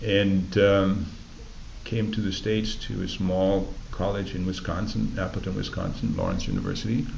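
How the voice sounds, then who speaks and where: The speech moves at a moderate pace with fairly even intonation. Noticeable background noise and audible room echo fill the recording. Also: man, fairly low pitch for a man. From Germany. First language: German. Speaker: oral history interviewee. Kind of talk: oral history interview. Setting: library recording booth.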